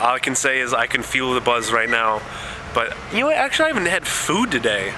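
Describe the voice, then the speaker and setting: A man speaks with an American accent at very even loudness. Noticeable background noise runs behind him. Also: fairly quick pace. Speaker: student vlogger. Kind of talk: casual vlog. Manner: fast.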